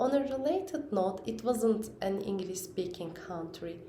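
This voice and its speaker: A woman with a Turkish accent, medium pitch and ordinary pitch variation, at a moderate pace, with audible room echo and noticeable background noise. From Turkey. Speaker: parent vlogger. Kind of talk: personal vlog talk. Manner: halting, with fillers.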